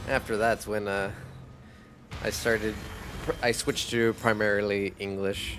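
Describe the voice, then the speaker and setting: A man speaks at a moderate pace in a fairly low voice, his intonation flat and monotone, with long, frequent pauses. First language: Spanish. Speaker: video game streamer. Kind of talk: live gameplay stream chat.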